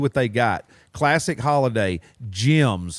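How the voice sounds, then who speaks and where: Medium pitch from a man with a Southern US accent, on a very clean recording with a silent background. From Mississippi and Alabama.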